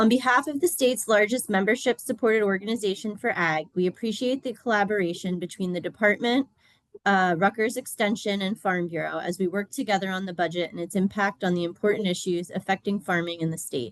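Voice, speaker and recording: Speaking at a very fast pace with hardly any pauses, a woman uses a medium pitch and ordinary pitch variation, her sound dry and close with no echo. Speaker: farm organization legislative director. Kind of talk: reading prepared testimony.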